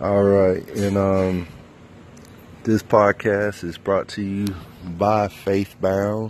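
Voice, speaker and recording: A man with an American accent speaks very slowly at a fairly low pitch, his intonation monotone and flat, with long, frequent pauses. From US South, North Carolina. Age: 30s. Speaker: minister and podcast host. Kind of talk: casual personal monologue, testimony. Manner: halting, many fillers; unrehearsed, spontaneous.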